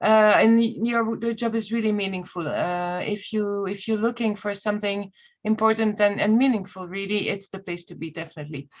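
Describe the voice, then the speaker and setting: A woman with a non-native accent speaks fairly quickly with hardly any pauses, at a medium pitch and with fairly even intonation. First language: not English. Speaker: EU recruitment communications officer. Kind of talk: webinar presentation. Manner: halting, many fillers.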